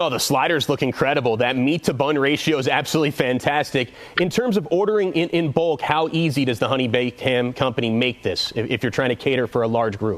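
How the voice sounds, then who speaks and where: A man with an American accent talks at a very fast pace in a medium pitch, with an upbeat, energetic tone and ordinary pitch variation. Noticeable background noise runs behind him. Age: 30s. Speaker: lifestyle TV host. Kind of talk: upbeat TV interview host banter. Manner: upbeat, energetic, jokey.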